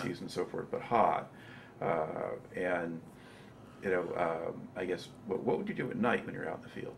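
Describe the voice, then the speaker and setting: Against noticeable background noise, a man talks at a moderate pace, leaving long, frequent pauses. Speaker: oral history interviewer. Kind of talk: interview questions.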